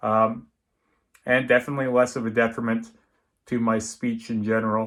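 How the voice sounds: A man speaks at a moderate pace in a medium pitch with little pitch movement. His tone is fairly bright.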